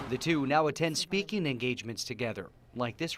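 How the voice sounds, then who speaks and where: A man speaks at a fairly quick pace with lively intonation in a plain, everyday voice. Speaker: TV news anchor and reporter. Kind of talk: TV news report narration.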